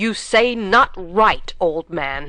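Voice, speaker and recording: A woman puts on a growling character voice at a medium pitch. Her intonation is lively. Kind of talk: Shakespearean verse reading. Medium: read story.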